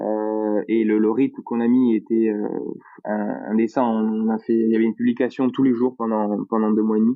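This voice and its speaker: A man in a Toulouse accent at medium pitch, with monotone, flat intonation, a moderate pace and very even loudness. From France, Toulouse. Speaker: project founder. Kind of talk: casual podcast interview.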